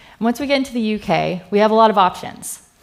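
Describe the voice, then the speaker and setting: Here a woman talks with a Californian accent. Her pace is moderate. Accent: American, California. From US West Coast, California Bay Area. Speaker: software engineer, conference speaker. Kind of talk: conference talk. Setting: stage with audience. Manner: casual, filler-heavy.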